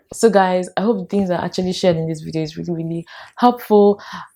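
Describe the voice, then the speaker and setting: Putting on a character voice, a woman speaks very fast in a strained tone at a medium pitch, with fairly even intonation. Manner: talking in a strained way because of the cold.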